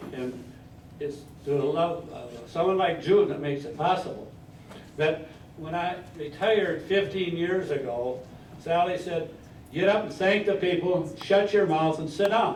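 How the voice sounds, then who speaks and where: Amid audible room echo, a man with a high pitch and ordinary pitch variation speaks at a moderate pace, pausing often and at length. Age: 80s+. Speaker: retiree giving a birthday speech. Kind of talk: after-dinner speech.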